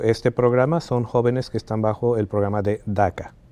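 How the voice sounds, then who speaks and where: Dark and mellow in tone, a man's medium-pitched voice moves at a fairly quick pace with fairly even intonation. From Bolivia, moved to the Washington DC area at age 10. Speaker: college access organization founder. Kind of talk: interview. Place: studio. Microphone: lapel.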